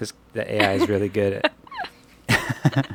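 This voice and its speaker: A mumbling man with a fairly low pitch on a very clean recording against a silent background. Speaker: podcast co-host. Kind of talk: casual chat.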